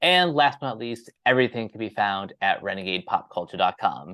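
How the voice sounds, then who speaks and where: Talking at a fairly quick pace with lively intonation, a man has a plain, everyday voice at a medium pitch. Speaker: podcast host. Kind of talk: casual chat, show intro and outro. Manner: repetitive, stumbling.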